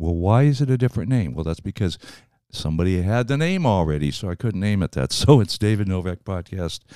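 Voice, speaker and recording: A man's fairly low, dark, mellow voice at a fairly quick pace, with very wide pitch swings, in a very clean, silent recording with a dry, close sound and no echo. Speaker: podcast host and actor. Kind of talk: casual podcast interview. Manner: informal, chatty, upbeat.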